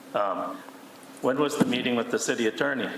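A man with an American accent, with audible room echo and noticeable background noise. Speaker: city council alderman. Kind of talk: heated council debate. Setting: council chamber meeting. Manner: loud.

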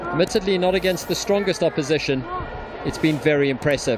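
A high-pitched man at a fairly quick pace with ordinary pitch variation, over noticeable background noise. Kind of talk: live football commentary. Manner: animated, fast, excited; fluent play-by-play, polished.

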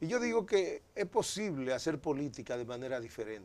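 Pitched fairly high, a man's voice makes very wide pitch swings. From Dominican Republic. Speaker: politician; politician guest. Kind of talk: interview. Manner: halting. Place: studio. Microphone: lapel.

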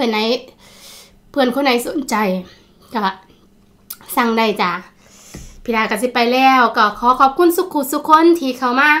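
A woman speaks in a high voice with a bright, sharp tone. Her pitch variation is ordinary. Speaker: food vlogger. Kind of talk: casual vlog chat. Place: home room. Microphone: phone near.

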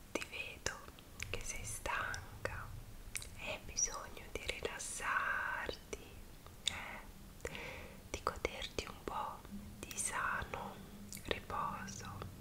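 A woman whispers in a soothing tone at a very slow pace, leaving long, frequent pauses. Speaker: ASMR creator. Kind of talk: ASMR roleplay, personal attention. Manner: soft-spoken, whispered, soothing. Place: home room. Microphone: earbuds.

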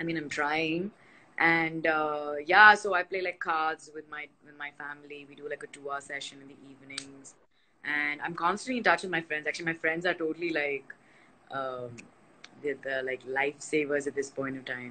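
A woman with a very deep, low pitch and a bright, sharp tone speaks with ordinary pitch variation and big swings in loudness. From India. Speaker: nutritionist and health coach; health coach. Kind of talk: casual live-stream chat. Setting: online live video session. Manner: fast, filler-heavy. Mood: relaxed, chatty. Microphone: phone near.

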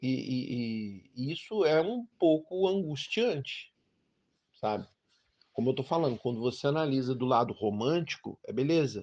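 The background is quiet as a man talks with a normal speaking voice at a medium pitch. His pace is fairly slow and his intonation lively. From Brazil, Brasília. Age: 50s. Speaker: delivery worker and labor activist. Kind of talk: interview answers, recorded audio.

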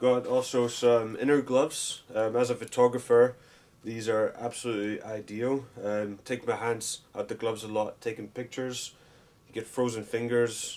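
A man's flat, monotone delivery at a moderate pace. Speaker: vlogger. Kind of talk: casual unboxing vlog chat. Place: home room.

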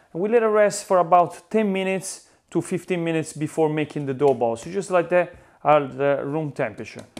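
The speaker talks at a moderate pace in an Italian accent, with ordinary pitch variation. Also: man. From Italy. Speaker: pizza chef and YouTuber. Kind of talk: tutorial. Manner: animated; halting. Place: kitchen. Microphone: lapel.

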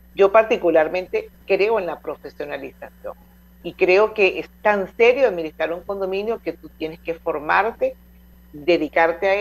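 At a moderate pace, a woman with an ordinary speaking voice talks at medium pitch, her pitch moving in an ordinary way. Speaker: radio host. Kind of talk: radio interview.

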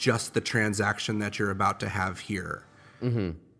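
A man with a plain, everyday voice and an American accent speaks at a fairly quick pace with fairly even intonation. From Chicago, US Midwest. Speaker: startup founder and CEO. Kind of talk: interview. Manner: casual.

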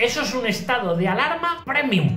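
Lively intonation with audible room echo. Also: man. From Spain. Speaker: comedian. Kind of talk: comedy monologue to camera. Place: home room. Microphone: phone near.

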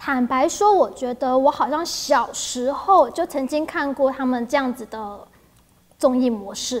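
Her pitch is high and her intonation lively. The woman speaks at a moderate pace. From Taiwan. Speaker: news show host. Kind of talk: casual news chat. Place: studio. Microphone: lapel.

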